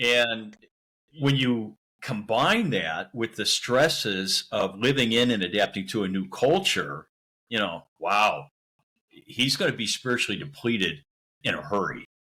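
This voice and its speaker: In an unremarkable speaking voice, a man of medium pitch talks at a fairly slow pace with lively intonation. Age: 60s. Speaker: missionary. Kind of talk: interview conversation.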